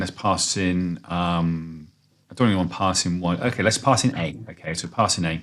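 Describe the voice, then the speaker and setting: A man's very deep, low-pitched voice. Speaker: programming tutor. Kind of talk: screen-recorded coding tutorial. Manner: fast; many fillers and false starts.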